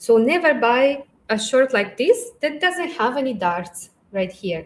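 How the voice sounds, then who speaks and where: In a very clean recording with a silent background, a woman with a non-native accent speaks at a very slow pace. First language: not English. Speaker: fashion stylist. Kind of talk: live Q&A. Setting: livestream. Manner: halting.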